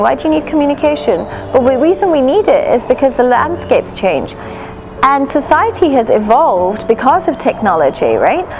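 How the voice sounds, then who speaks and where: A woman speaks in a high voice with very wide pitch swings and very even loudness over noticeable background noise. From London, England. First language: Gujarati. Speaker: hospital marketing director. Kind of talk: interview.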